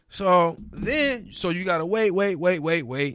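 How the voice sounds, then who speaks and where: On a very clean recording with a silent background, the voice has a bright, sharp tone and lively intonation. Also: man. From New Orleans, raised partly in Detroit. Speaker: sports TV producer. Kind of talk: casual chat. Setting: studio.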